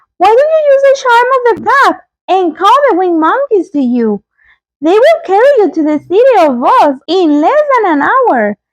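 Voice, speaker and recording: This is a squeaky, put-on character voice with very wide pitch swings. It moves at a moderate pace. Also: woman, extremely high pitch for a woman. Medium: read story.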